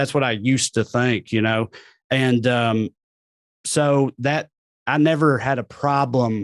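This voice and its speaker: A man with an American accent talks at a moderate pace. The sound is dry and close with no echo, against a quiet background. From US South, Tennessee. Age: 30s. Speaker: comedian. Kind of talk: casual chat.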